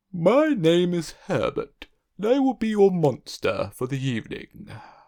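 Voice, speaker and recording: In a breathy, put-on character voice, a man speaks high for a man at a moderate pace. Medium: read story. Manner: polite, mild.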